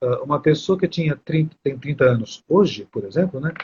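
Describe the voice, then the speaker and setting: Somewhat breathy, a man speaks with a fairly high pitch and lively intonation. His pace is fairly quick. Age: 60s. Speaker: astrology teacher. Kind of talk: live stream conversation. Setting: live stream.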